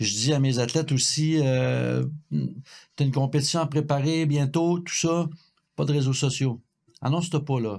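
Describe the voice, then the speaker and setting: Long, frequent pauses break up a man's fairly slow speech. His pitch is fairly high, and his intonation fairly even. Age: 60s. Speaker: cycling coach. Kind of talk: podcast conversation. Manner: halting, repetitive.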